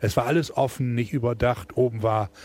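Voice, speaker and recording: A man's dark, mellow tone sounds somewhat breathy. He keeps a moderate pace with ordinary pitch variation. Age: 60s. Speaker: football fan, shipping businessman. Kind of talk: casual interview. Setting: in the stadium.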